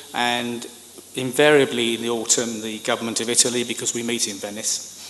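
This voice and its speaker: A man talks at a fairly quick pace with medium pitch and monotone, flat intonation. Audible room echo and noticeable background noise surround him. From United Kingdom. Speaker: government communications expert. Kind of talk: conference speech.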